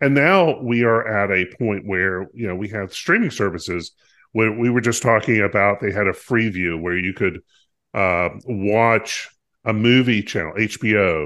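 A man with an American accent talks at a fairly slow pace, in an ordinary speaking voice. His pitch is fairly low and varies in an ordinary way. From US South, North Carolina. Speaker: podcast co-host. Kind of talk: casual chat.

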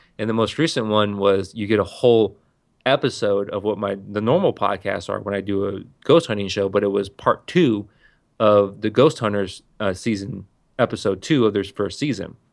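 Over a quiet background, a man with an ordinary speaking voice talks at a moderate pace. His pitch is fairly low, with ordinary pitch variation. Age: 30s. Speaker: podcaster. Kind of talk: casual chat.

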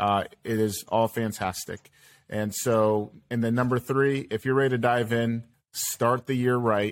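In a very clean recording with a silent background, a man talks in a normal speaking voice at a fairly slow pace, medium in pitch with fairly even intonation. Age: 30s. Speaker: podcast host. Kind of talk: casual chat.

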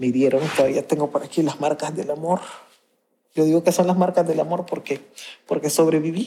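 Woman's very deep, low voice with a dark, mellow tone, fairly even intonation, a fairly quick pace, and long, frequent pauses. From Honduras, Garifuna community of the northern Caribbean coast. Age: 50s. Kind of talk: interview testimony. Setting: community center of a church.

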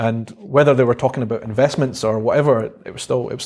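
Talking very fast in a Scottish accent, a man keeps a medium pitch and a monotone, flat intonation. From Scotland, Edinburgh (Stenhouse). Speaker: vlogger and social media marketer. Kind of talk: casual interview conversation.

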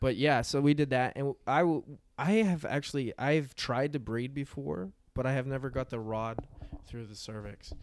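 A man speaks in an unremarkable speaking voice of medium pitch at a moderate pace, with ordinary pitch variation. His loudness swings widely, on a very clean recording with a silent background. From rural Pennsylvania. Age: 20s. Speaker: comedian, former dairy farmer. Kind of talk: casual chat.

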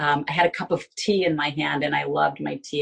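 A woman talks with vocal fry. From Binghamton, New York. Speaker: life coach. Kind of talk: interview testimony.

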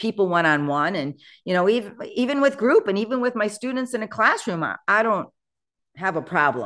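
Here a woman talks with very wide pitch swings. The background is quiet. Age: 60s. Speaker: real estate agent and mentor. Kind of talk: casual chat.

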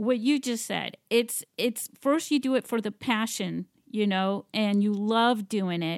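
A woman with an unremarkable speaking voice, fairly high in pitch, ordinary pitch variation and a fairly slow pace, in a dry, close sound with no echo on a very clean recording with a silent background. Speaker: podcast host. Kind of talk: casual interview.

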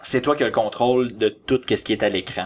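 A man's ordinary speaking voice at medium pitch, moderately paced, with fairly even intonation. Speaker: amateur filmmaker. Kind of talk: casual chat.

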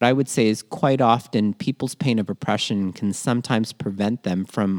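A man with a Canadian accent has an ordinary speaking voice at a medium pitch, talking at a moderate pace with a dry, close sound and no echo. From Toronto, Canada (born in Manila). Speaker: podcast co-host, educator on social justice. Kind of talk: casual educational chat. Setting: remote podcast recording.

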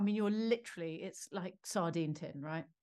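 A woman with a British accent talks at a fairly quick pace with lively intonation. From Britain. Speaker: film director. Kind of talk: interview.

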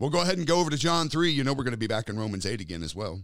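The voice swings very widely in pitch. Vocal fry runs through it. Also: man, very clean recording, silent background. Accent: American. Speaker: podcast host and preacher. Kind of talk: podcast Bible teaching.

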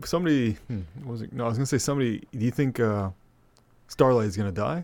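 A man with a normal speaking voice talks at a medium pitch with ordinary pitch variation, in a very clean recording against a silent background. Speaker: guest podcaster. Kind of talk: casual chat.

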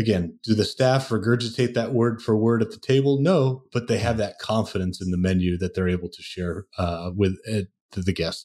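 On a very clean recording with a silent background, a man with an American accent and a fairly low pitch speaks in a dark, mellow tone with hardly any pauses. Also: ordinary pitch variation, moderate pace. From US, Portland Oregon and New Jersey. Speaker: menu and wine list consultant. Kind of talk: interview.

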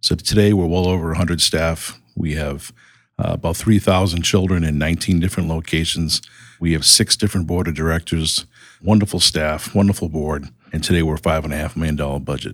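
Very deep and low, a man's voice with a Boston accent moves at a fairly quick pace with fairly even intonation. The recording is very clean, with a silent background. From Boston, US. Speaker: nonprofit CEO. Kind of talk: interview conversation.

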